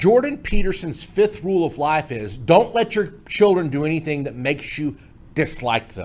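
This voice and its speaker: A man speaks with a fairly high pitch and very wide pitch swings. The recording is very clean, with a silent background. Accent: American. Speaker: memory trainer. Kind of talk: tutorial. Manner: fast.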